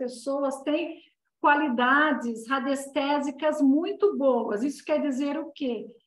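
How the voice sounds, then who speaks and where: Amid audible room echo, a woman speaks at a high pitch and a fairly slow pace. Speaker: Reiki and dowsing teacher. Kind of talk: online class lecture.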